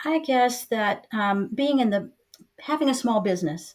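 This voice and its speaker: A woman uses an ordinary speaking voice with lively intonation at a fairly slow pace. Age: 60s. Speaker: community leader and real estate professional. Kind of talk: interview podcast.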